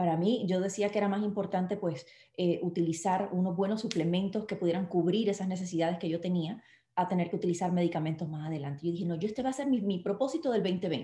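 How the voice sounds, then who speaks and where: Very fast, somewhat breathy speech from a woman of medium pitch, with a dark, mellow tone and ordinary pitch variation. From Puerto Rico. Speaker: network marketing distributor and actress. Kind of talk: live online interview.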